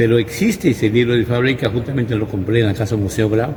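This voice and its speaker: Against noticeable background noise, a man of medium pitch talks at a very fast pace with ordinary pitch variation. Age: 60s. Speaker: local church historian. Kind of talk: interview. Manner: hesitant, with repetitions.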